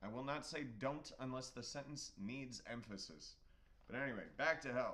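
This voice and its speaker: A man's medium-pitched voice with an American accent, bright and sharp in tone, at a moderate pace with ordinary pitch variation. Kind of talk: casual chat.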